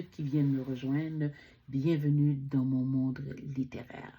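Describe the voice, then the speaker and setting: The voice has a Quebec accent and a dark, mellow tone. It is somewhat breathy and moves at a moderate pace. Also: woman. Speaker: book reviewer. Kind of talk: casual book vlog. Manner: halting.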